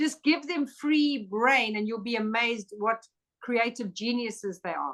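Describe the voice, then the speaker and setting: A woman speaks at a fairly slow pace in a normal speaking voice, pitched fairly high for a woman. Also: ordinary pitch variation. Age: 60s. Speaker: angel expert and spiritual teacher. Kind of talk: casual chat.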